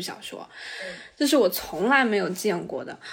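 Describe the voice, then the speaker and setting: Here is a woman with a plain, everyday voice. Her pitch is medium, and it varies in an ordinary way. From southern China. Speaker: podcast co-host. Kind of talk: casual chat.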